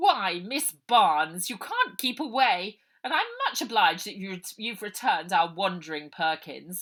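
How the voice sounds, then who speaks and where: A woman uses a put-on character voice at a medium pitch and moderate pace. Her intonation is lively, with big swings in loudness. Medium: read story. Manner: cold, mock-polite.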